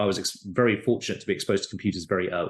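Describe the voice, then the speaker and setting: Against a quiet background, a man with a British accent talks with lively intonation. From UK. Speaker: tech company founder and CEO. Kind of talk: interview.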